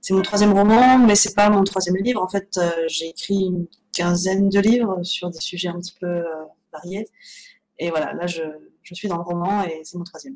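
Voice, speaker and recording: At a moderate pace, a woman talks at medium pitch with fairly even intonation and big swings in loudness. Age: 30s. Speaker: novelist. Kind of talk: interview. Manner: hesitant, many fillers.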